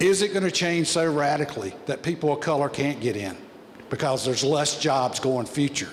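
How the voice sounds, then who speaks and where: With a Southern US accent, a man talks at a moderate pace in a fairly high voice with ordinary pitch variation. Noticeable background noise runs beneath him. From US South. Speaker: audience member asking a question. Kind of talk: audience question at a panel forum. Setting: public forum with audience.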